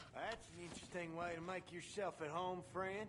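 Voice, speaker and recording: Over loud background noise, a man in a put-on character voice drawls at a moderate pace with a high pitch. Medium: video game. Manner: folksy drawling.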